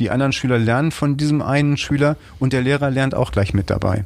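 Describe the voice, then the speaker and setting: Noticeable background noise runs under a man's voice. He talks at a fairly quick pace with ordinary pitch variation. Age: 50s. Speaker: school business manager. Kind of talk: interview. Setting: office.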